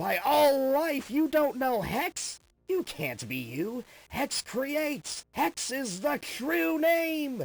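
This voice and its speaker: A put-on character voice at a high pitch drags along at a very slow pace. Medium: dub. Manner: calm, chill.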